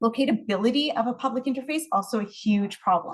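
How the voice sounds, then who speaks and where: With a Canadian accent, a woman speaks in a somewhat breathy voice. Her pitch varies in an ordinary way. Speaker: research scientist and professor. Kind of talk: research presentation. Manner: fast.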